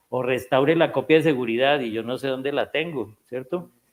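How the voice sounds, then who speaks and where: This is a normal speaking voice at a moderate pace. Its pitch varies in an ordinary way. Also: man. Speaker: psychiatrist. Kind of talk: lecture.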